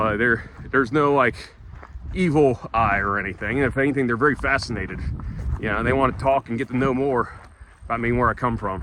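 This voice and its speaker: A man with a Southern US accent talks with ordinary pitch variation and long, frequent pauses over noticeable background noise. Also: medium pitch for a man. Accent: southern drawl. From US South. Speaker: travel vlogger. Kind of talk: walk and talk vlog. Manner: casual, halting with many fillers.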